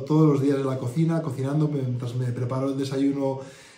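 Audible room echo surrounds a man's voice. It sits fairly high in pitch with fairly even intonation. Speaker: group participant sharing experience. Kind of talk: interview answer. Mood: content, reflective. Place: home room. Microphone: phone near.

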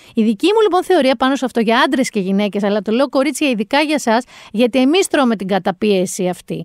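This woman talks at a fairly quick clip with hardly any pauses, her voice high in pitch. Her tone is animated and her intonation lively. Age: 40s. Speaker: podcast host. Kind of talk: casual chat.

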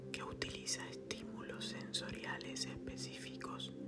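With noticeable background noise behind him, a man speaks very slowly in a very deep, low pitch. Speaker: ASMR meditation guide. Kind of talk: explanatory narration about ASMR.

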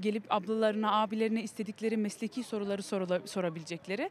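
Over light background noise, a woman talks at a fairly quick pace, the sound dry with no echo. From Belgium. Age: 20s. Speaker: community volunteer; interviewee. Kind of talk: street interview. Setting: outdoors in a city square. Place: open country. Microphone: handheld.

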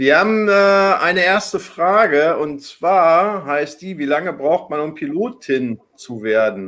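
A man with a high pitch talks at a very slow pace with hardly any pauses and lively intonation. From Hamburg. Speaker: online talk show host. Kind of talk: live talk show moderation. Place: home room. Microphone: webcam.

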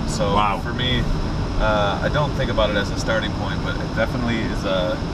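The speech runs at a moderate pace over loud background noise. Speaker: guest. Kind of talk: interview answer. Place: car.

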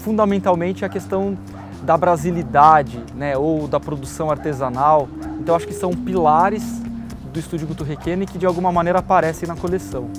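A man at a moderate pace, dry sound with no echo, clear music in the background. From Brazil. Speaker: designer. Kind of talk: interview answer. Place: home room. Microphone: lapel.

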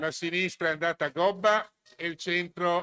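A high-pitched man with a bright, sharp tone at a fairly slow pace. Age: 60s. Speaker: conference moderator, association secretary; conference moderator. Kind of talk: conference presentation. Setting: school auditorium with student audience. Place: hall. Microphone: podium.

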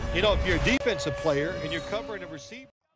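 A man's voice with music playing in the background. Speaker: sports commentator.

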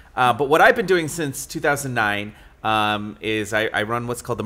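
The tone is bright and sharp. A man talks at a moderate speed. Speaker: podcast guest. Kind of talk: interview answer. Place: meeting room. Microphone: studio mic.

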